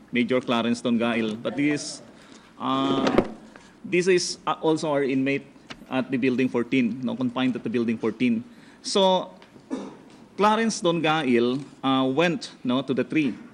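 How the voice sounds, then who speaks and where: Against noticeable background noise, a man speaks fairly slowly with long, frequent pauses. His intonation stays lively. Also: medium pitch for a man. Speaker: prison bureau spokesperson. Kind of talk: press conference briefing. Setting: press conference. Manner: loud; hesitant, many fillers.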